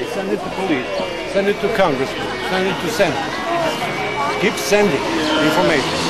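Over loud background noise, a man talks at a fairly quick pace, broken by long, frequent pauses. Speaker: ex-CIA agent, protest speaker. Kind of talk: protest speech. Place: street. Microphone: camera far.

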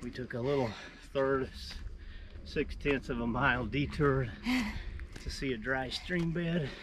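At a slow pace, a man speaks in a fairly bright tone with ordinary pitch variation.

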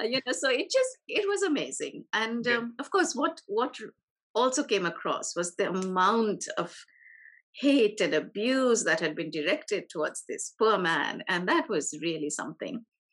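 The pitch swings very widely, with vocal fry running through it. The background is quiet. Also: woman, fairly high pitch for a woman, moderate pace. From India, Delhi. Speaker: journalist and author; interviewee. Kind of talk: interview. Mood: warm, animated. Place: home room. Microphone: video call.

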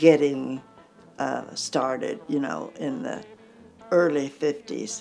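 A woman's very deep, low voice with ordinary pitch variation and an American accent, faint music in the background. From United States. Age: 80s+. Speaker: country singer. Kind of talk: interview answer. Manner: lively. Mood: lively, amused storytelling. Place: home room. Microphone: lapel.

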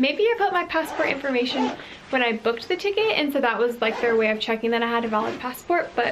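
A high-pitched woman at a very fast pace, with noticeable background noise. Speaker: travel vlogger. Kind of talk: casual vlog chat. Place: home room. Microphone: phone near.

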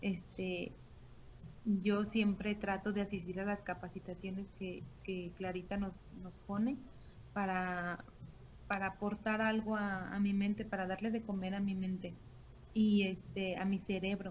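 With light background noise behind her, a somewhat breathy woman speaks in a monotone, flat intonation with long, frequent pauses. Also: fairly slow pace. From Mexico, Morelia, Michoacán; Michoacán, Mexico. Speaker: direct sales team leader. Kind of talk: sales pitch. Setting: online video call. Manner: halting, many fillers. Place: home room. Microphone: webcam.

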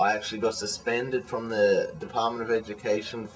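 With music in the background, a man in an Australian accent talks at a medium pitch. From Australia (childhood partly in Malaysia). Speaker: vlogger. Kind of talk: casual video blog monologue. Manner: hesitant, many fillers. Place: home room. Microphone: webcam.

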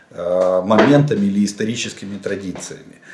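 A man talks at a moderate pace amid light background noise and audible room echo. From Ukraine. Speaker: military analyst, former general staff officer; military-political commentator. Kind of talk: solo video commentary on military situation. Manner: halting, with frequent self-corrections and fillers. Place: home room.

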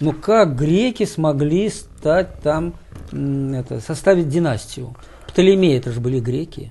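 This man speaks very slowly with lively intonation and a fairly high pitch. His tone is dark and mellow and somewhat breathy. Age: 70s. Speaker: writer, poet and professor. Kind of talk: interview answers. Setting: TV studio.

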